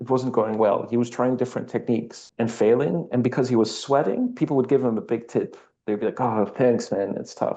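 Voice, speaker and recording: A man with a Dutch accent speaks in a dark, mellow tone with fairly even intonation. He goes at a fairly quick pace with hardly any pauses. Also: medium pitch for a man. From Netherlands. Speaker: architect. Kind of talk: interview conversation.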